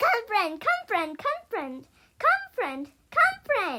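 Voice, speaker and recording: Putting on a squeaky character voice, a woman talks at a very slow pace in an extremely high pitch with very wide pitch swings. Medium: read story. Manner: simple repeated words.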